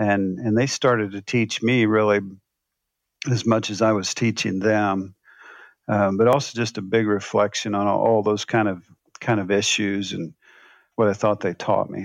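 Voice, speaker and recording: Monotone, flat speech from a man at a moderate pace and fairly low pitch, with long, frequent pauses and a quiet background. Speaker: former pastor and author. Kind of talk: interview.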